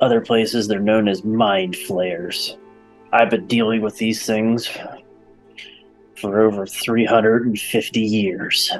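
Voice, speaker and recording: A man uses a put-on character voice at a medium pitch, moving at a very slow pace. Long, frequent pauses break up his lines over faint music in the background. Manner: gruff, boastful, casual.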